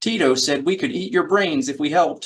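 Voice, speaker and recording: Putting on a character voice, a man talks at a fairly quick pace in a high pitch with very wide pitch swings. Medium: read story.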